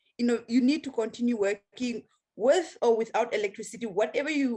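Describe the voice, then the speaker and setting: A woman speaks at a fairly quick pace in a high voice. Her pitch varies in an ordinary way. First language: a local Namibian language. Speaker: outreach trainer and show co-host. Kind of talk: casual panel chat. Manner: halting, many fillers.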